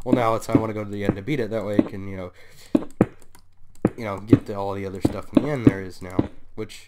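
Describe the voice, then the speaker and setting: Quiet and at a fairly low pitch, a man speaks at a very fast pace with fairly even intonation, long, frequent pauses and big swings in loudness over noticeable background noise. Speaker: gaming YouTuber. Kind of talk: gameplay commentary. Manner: hesitant, many fillers; often quiet.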